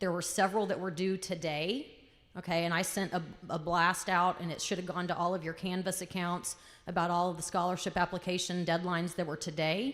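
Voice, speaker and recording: The woman's pitch is fairly low and her intonation fairly even. She speaks at a fairly quick pace. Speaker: school counselor. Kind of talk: school assembly announcements. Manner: loud.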